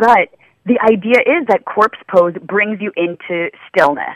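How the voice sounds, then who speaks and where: With a dry, close sound and no echo, a woman speaks fairly slowly in a medium pitch with ordinary pitch variation. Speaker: yoga teacher and author. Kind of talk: radio interview. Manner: loud.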